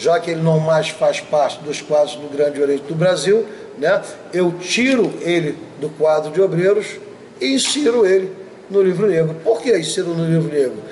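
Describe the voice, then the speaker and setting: At a moderate pace, the voice comes through with noticeable background noise. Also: man. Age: 60s. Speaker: masonic grand master. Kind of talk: interview. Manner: emphatic.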